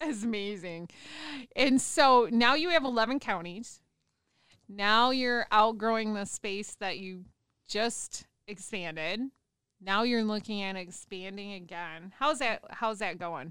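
A woman's bright, sharp, fairly high voice in an American accent, fairly slow, with lively intonation and big swings in loudness. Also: very clean recording, silent background. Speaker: radio host. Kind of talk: casual interview. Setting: radio show.

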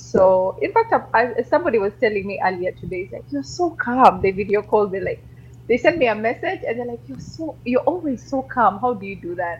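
A woman talks at a fairly quick pace and a fairly high pitch, with vocal fry. Her pitch swings very widely and her loudness shifts in big swings. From Uganda, early childhood in Kenya. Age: 40s. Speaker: radio journalist. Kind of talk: interview. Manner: calm.

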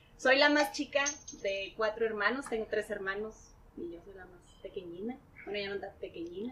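With noticeable background noise behind her, a woman with a fairly high voice speaks at a moderate pace. Her intonation is lively and her loudness swings widely. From Mexico, Tijuana. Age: 30s. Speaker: marketer and podcaster. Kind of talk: casual chat.

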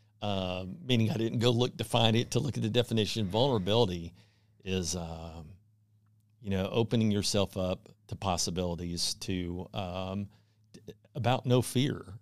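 Here is a man with an American accent and an unremarkable speaking voice. His pitch is fairly low with ordinary variation, and his pace is moderate. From Texas (Houston). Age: 50s. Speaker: divorce support group leader. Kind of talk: casual interview.

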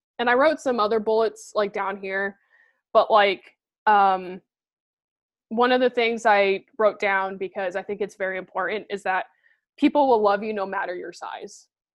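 A woman with an ordinary speaking voice talks at medium pitch and a moderate pace, with ordinary pitch variation. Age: late 20s. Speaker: podcast co-host. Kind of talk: casual chat. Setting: video call.

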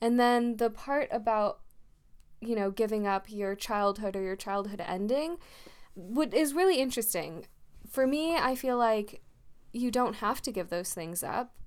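A woman with an unremarkable speaking voice, fairly high pitch, lively intonation, and a fairly slow pace. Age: 20s. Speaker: podcast co-host. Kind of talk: casual chat.

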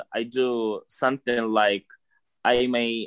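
With a Russian accent, a man speaks in a bright, sharp tone, with a dry, close sound and no echo. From Russia, Moscow. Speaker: podcast guest. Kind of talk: casual interview. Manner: halting.

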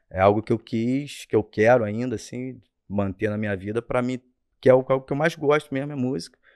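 A man's normal speaking voice at medium pitch, fairly quick in pace with ordinary pitch variation, in a dry, close sound with no echo and a quiet background. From Rio de Janeiro state, Brazil (Rio Bonito). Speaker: musician. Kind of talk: casual chat.

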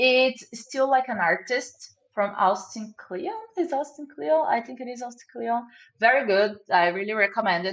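A woman with a Portuguese accent speaks at a fairly high pitch. Her loudness shows big swings. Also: moderate pace. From Brazil. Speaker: product manager. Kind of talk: casual interview.

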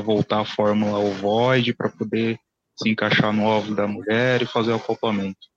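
A man's fairly low voice, monotone and flat in intonation, at a moderate pace, with a dry, close sound and no echo. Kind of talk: casual chat. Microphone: too quiet.

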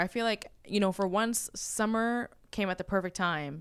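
In a very clean recording with a silent background, a woman talks at a moderate pace with medium pitch, ordinary pitch variation and an unremarkable speaking voice. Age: 20s. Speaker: real estate agent. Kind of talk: casual chat. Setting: office.

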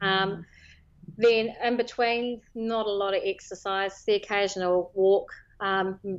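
Speaking in a New Zealand accent, a woman holds a monotone, flat intonation at a medium pitch. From New Zealand, Northland (Whangarei Heads). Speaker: property lawyer and fasting follower sharing her story. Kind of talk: casual interview. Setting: phone call.

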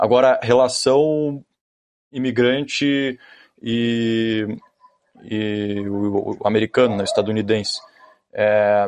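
Pausing long and often, a man at medium pitch speaks at a very slow pace with fairly even intonation. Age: 20s. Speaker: aspiring reporter. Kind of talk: casual chat.

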